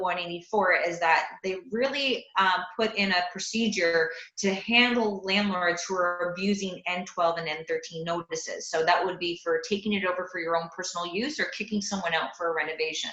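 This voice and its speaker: Noticeable background noise behind a woman's medium-pitched voice, with ordinary pitch variation. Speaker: landlord advocate. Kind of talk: panel discussion. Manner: fast.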